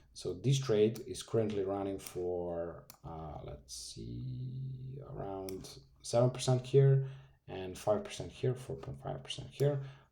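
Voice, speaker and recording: A man with a Serbian accent, fairly low in pitch with very wide pitch swings, a dark, mellow tone and a somewhat breathy quality, speaking fairly slowly amid audible room echo. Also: big swings in loudness. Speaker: forex trading youtuber. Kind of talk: trading tutorial. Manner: animated.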